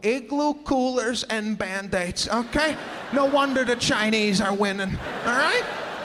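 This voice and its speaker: The voice moves at a fairly slow pace with ordinary pitch variation over noticeable background noise. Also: man. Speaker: stand-up comedian. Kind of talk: stand-up comedy set. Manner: energetic.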